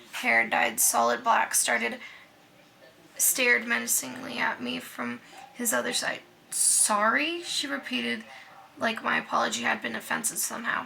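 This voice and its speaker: A woman talks with long, frequent pauses against noticeable background noise. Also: moderate pace. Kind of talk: reading aloud. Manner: halting.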